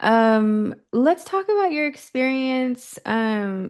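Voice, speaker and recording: A woman with an American accent. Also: quiet background. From Bay Area, California. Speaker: podcast host. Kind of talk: casual interview. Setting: podcast recording.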